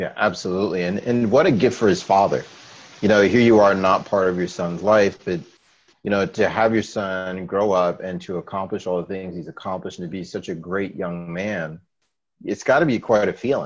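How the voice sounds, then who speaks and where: Against a quiet background, a man talks fairly quickly in a normal speaking voice, his fairly low pitch showing ordinary pitch variation. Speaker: radio host. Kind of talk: casual chat.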